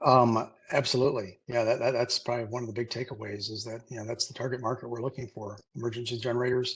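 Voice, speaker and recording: Very fast, somewhat breathy speech from a man at a medium pitch. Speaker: CEO presenting on mobile nuclear technology. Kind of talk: webinar presentation; Q&A answer. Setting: webinar. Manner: halting, many fillers.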